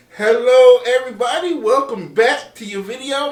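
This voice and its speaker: A man's moderate-paced speech, with ordinary pitch variation, carries over noticeable background noise. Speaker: meteorologist. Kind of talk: weather forecast video. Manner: casual, conversational.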